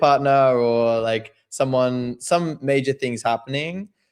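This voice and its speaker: The man speaks with an Australian accent and fairly even intonation. The recording is very clean, with a silent background. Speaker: crypto trader and writer. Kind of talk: podcast interview.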